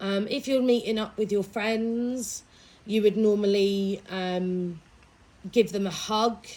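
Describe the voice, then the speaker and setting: Dark and mellow, this woman's voice keeps fairly even intonation. She speaks very slowly. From East Anglia, Suffolk, England. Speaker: English language specialist. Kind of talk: interview.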